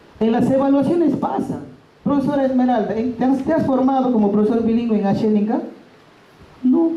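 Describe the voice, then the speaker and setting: A woman's high voice at a fairly quick pace, with very even loudness, ordinary pitch variation, audible room echo and noticeable background noise. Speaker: bilingual education teacher. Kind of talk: workshop talk. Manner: loud, emphatic.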